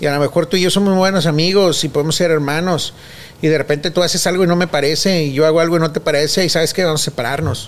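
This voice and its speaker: Very fast delivery in a Mexican accent, with fairly even intonation and very even loudness. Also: man. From Mexico. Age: 40s. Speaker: children's clown. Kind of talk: interview.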